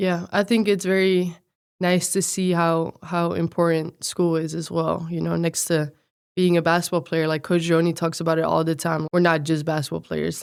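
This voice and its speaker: In a Dutch accent, the speaker holds a monotone, flat intonation at a moderate pace. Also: woman. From Netherlands. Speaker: college athlete. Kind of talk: podcast interview.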